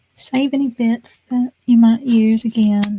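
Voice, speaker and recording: A woman's fairly high voice in a Southern US accent, dry and close with no echo. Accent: US South. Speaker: craft video creator. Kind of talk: crafting tutorial. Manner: whispering at times.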